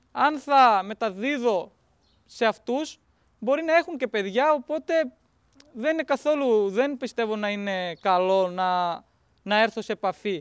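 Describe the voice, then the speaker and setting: A man with a high pitch and lively intonation speaks at a fairly slow pace with long, frequent pauses, in a dry sound with no echo against a quiet background. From Pakistan. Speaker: interpreter and student. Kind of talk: documentary interview. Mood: calm, grateful, reflective. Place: open country.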